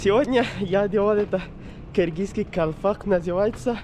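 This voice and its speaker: There is noticeable background noise as a man speaks. He keeps a moderate pace with ordinary pitch variation. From Pakistan. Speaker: travel vlogger. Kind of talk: travel vlog. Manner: halting, non-native phrasing.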